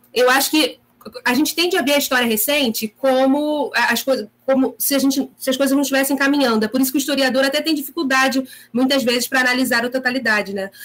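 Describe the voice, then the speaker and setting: A woman with a high pitch speaks very fast, keeping fairly even intonation and very even loudness. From Rio de Janeiro, Brazil. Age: 30s. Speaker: history teacher. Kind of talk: online discussion panel.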